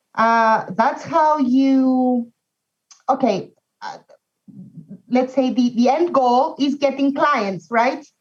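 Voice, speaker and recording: With a non-native accent, a woman speaks at a high pitch and a very slow pace, using ordinary pitch variation and long, frequent pauses. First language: not English. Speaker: language industry professional. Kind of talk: casual chat. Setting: video call. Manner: mumbling.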